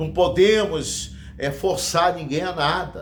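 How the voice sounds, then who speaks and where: In a room with audible echo, a man with fairly high pitch speaks at a very slow pace. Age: 60s. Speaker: evangelist preacher. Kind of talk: sermon. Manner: halting.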